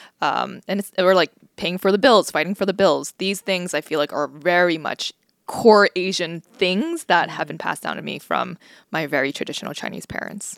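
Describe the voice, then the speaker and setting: A woman's fairly low voice with vocal fry, ordinary pitch variation and a moderate pace, in a dry, close recording with no echo. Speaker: podcast co-host. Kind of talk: casual chat.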